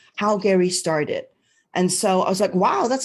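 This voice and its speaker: A woman speaks with a Cantonese accent. The background is quiet. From Hong Kong. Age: 50s. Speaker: network marketing team leader teaching a class. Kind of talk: livestream class. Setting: Facebook live stream. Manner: animated.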